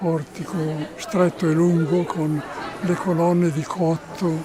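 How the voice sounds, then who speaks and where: A man talks at a very slow pace in a high, monotone, flat voice. Crowd noise can be heard in the background. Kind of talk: interview answer.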